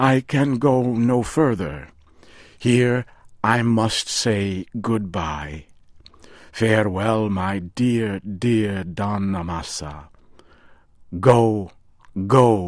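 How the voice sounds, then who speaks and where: A man uses a put-on character voice pitched fairly low. He goes at a very slow pace, with long, frequent pauses. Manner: excited.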